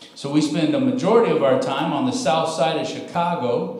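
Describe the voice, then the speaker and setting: A man's voice makes very wide pitch swings amid audible room echo. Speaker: guest preacher. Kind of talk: sermon. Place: church.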